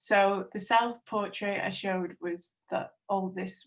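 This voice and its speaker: Very slowly, a woman speaks at medium pitch in a North Welsh accent. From North Wales. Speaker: textile artist. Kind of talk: webinar talk about own artworks.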